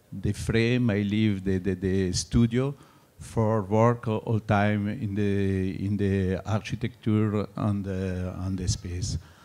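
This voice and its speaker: A man with a French accent speaks very slowly in a fairly low pitch, his tone dark and mellow and his intonation fairly even. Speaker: artist. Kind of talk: artist talk. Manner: halting, many fillers.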